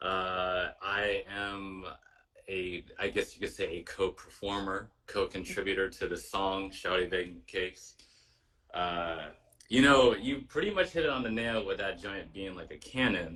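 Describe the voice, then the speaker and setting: A man speaks at a fairly low pitch with a bright, sharp tone. His pace is fairly slow, with ordinary pitch variation. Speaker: musician, co-performer on the song. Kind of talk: casual chat. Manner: halting.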